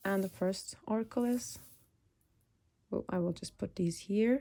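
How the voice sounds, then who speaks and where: A woman speaks at a moderate pace with lively intonation. Her voice is somewhat breathy, with a dark, mellow tone. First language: Turkish. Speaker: tarot reader. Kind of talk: collective tarot reading. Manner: halting, searching for words.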